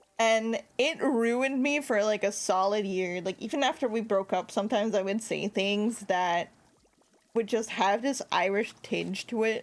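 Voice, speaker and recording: A woman speaks with an American accent at a fairly high pitch, keeping her loudness very even, her pace moderate and her pitch variation ordinary. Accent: sounds American. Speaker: VTuber streamer. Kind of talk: casual chat while gaming livestream. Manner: animated, lots of fillers.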